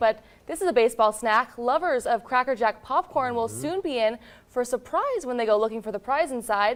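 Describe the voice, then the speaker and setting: Someone with an American accent talks at a fairly quick pace with lively intonation, over noticeable background noise. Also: woman, high pitch for a woman. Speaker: television news anchor and reporter. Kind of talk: local TV news anchor delivery. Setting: newsroom anchor desk, scripted read.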